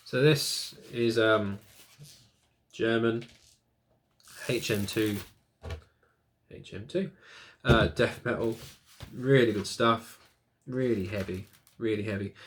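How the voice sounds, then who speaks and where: A man speaks at a very slow pace, leaving long, frequent pauses. His loudness swings widely, and his pitch varies in an ordinary way. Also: medium pitch for a man. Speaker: music YouTuber. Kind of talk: casual vlog review. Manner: hesitant, many fillers.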